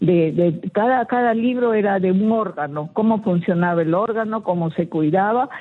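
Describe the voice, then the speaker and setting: With noticeable noise behind her, a woman talks at a moderate speed. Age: 80s+. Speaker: radio caller, retired health worker. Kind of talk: casual chat.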